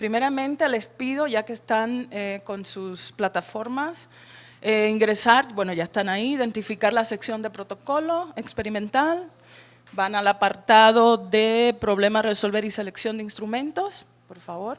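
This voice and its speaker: A woman with a Cuban accent, fairly high-pitched, with ordinary pitch variation and a fairly slow pace. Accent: Cuban Caribbean Spanish. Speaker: workshop facilitator. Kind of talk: training workshop.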